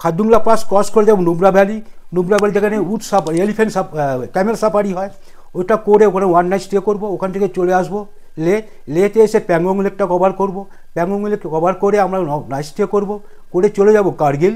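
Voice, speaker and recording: A man with a high pitch and a dark, mellow tone, fairly even intonation and a quiet background. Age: 60s. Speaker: tour operator. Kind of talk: interview. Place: office. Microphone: lapel.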